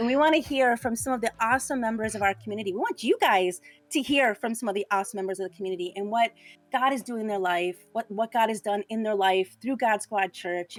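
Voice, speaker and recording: A woman's fairly high, animated voice at a very fast pace, lively in intonation, dry and close with no echo, over background music. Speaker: pastor. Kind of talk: livestream interview. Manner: loud.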